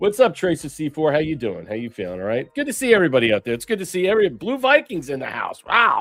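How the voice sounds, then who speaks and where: Over music in the background, a high-pitched man talks very fast, his pitch swinging very widely. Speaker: political talk show host. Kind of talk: live stream news commentary. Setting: live stream. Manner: casual, filler-heavy.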